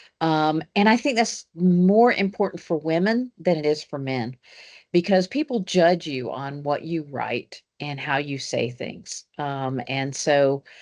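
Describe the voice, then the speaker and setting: Lively intonation at a fairly slow pace against a quiet background. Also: woman, very deep, low pitch for a woman. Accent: Southern US. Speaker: engineering professor. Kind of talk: panel discussion.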